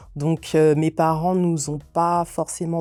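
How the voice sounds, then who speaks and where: A silent background sits under a very clean recording. The voice has a dark, mellow tone. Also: woman. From France, Yvelines near Paris. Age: 40s. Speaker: children's book author. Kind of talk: interview. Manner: hesitant, many fillers.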